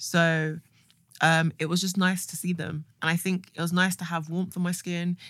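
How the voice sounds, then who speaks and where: Fairly low in pitch, a woman's voice is an unremarkable speaking voice with fairly even intonation. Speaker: podcast co-host. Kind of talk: casual chat.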